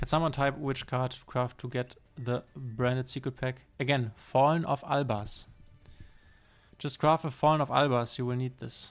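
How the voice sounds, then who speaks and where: On a very clean recording with a silent background, a man with a German accent talks at a moderate pace and medium pitch in a monotone, flat intonation. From northern Germany. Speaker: streamer. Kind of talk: live gameplay commentary. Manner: halting.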